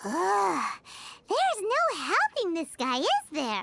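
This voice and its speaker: The put-on character voice is extremely high-pitched and moves at a fairly slow pace. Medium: video game. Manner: casual, wry.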